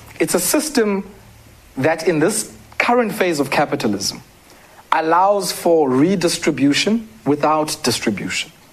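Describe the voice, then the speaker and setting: A man's high voice with lively intonation and very even loudness, over noticeable background noise. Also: fairly slow pace. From South Africa, Eastern Cape (Queenstown area). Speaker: development economist and author. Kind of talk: interview.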